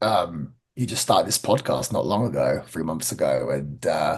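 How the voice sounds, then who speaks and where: A man with an English accent, at a moderate pace. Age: 30s. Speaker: pro wrestler. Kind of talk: podcast interview.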